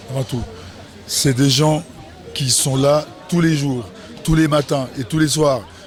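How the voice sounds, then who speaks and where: Over noticeable background noise, a man talks at a very slow pace. He leaves long, frequent pauses. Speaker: festival organizer. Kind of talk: event interview. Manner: animated.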